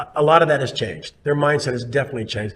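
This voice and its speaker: The speaker talks at a very fast pace in a somewhat breathy voice with ordinary pitch variation. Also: man. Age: 60s. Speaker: city official. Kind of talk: casual chat. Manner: halting.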